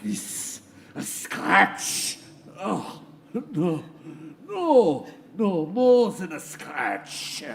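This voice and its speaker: In a put-on character voice, a man speaks high and very slowly. Long, frequent pauses break up his delivery. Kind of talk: theatrical villainy. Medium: audio drama.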